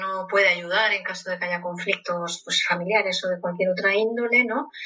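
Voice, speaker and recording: Noticeable background noise sits behind a woman speaking at a moderate pace. Her medium pitch shows ordinary pitch variation. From Spain. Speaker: psychologist. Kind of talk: interview.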